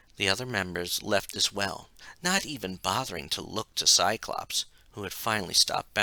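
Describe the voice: In plain reading aloud, the intonation stays lively.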